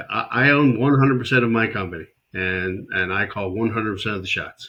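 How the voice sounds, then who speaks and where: Using a plain, everyday voice, a man talks at a fairly quick pace with a medium pitch and ordinary pitch variation. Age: 60s. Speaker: startup advisor. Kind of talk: interview conversation.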